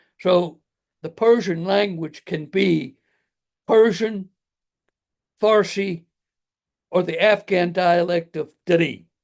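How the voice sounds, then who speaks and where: Speaking very slowly with a high pitch, a man with an American accent keeps a fairly even intonation and takes long, frequent pauses. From US military family, raised partly in Japan. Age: 80s+. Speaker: retired military officer, author. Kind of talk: interview storytelling.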